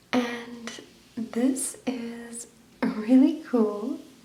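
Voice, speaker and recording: The voice is soft-spoken with a relaxed tone. Noticeable background noise is present. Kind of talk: soft-spoken ASMR book flip, casual talk. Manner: soft-spoken, relaxed.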